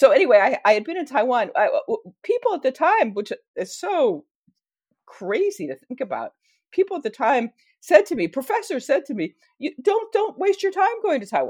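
With an American accent, a high-pitched woman speaks at a moderate pace. Her pitch swings very widely. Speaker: history professor and author. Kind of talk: casual interview.

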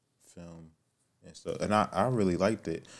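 In an American accent, a man talks on a very clean recording with a silent background. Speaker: podcast host. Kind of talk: casual chat.

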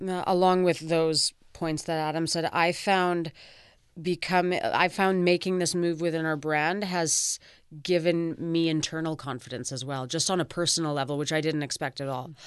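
Someone with a Canadian accent speaks at a moderate pace against a quiet background. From Vancouver, Canada. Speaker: fashion designer. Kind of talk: interview.

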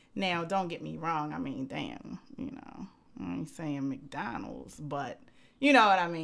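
Speaking at a fairly slow pace, a woman uses a very deep, low pitch with very wide pitch swings and vocal fry. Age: 30s. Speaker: podcast guest co-host. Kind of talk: casual chat. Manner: outspoken.

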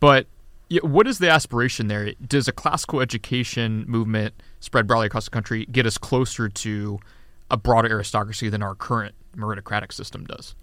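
A bright, sharp tone with ordinary pitch variation moves at a fairly quick pace on a very clean recording with a silent background. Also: man, medium pitch for a man. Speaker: podcast host and journal editor. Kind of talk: podcast interview.

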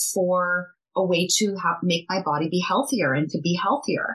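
At a medium pitch and a moderate pace, a woman talks in a plain, everyday voice. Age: 50s. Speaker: skincare entrepreneur. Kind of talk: interview.

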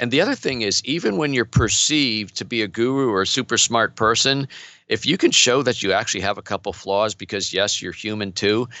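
A man with an ordinary speaking voice talks at a fairly quick pace, using ordinary pitch variation. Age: 50s. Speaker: entrepreneur and business coach. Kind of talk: casual interview.

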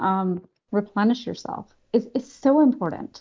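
A woman with a Canadian accent has an ordinary speaking voice. Her fairly high pitch shows ordinary variation. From Canada. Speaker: pediatrician. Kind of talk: interview.

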